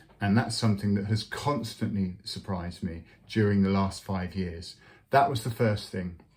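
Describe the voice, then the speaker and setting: A man at a moderate pace, with fairly even intonation and a somewhat breathy voice. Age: 60s. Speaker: clergy vlogger on sobriety. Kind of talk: personal testimony vlog. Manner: halting, many fillers.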